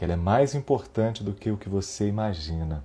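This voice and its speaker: Somewhat breathy male speech in a dark, mellow tone. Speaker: singing teacher. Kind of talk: live stream host.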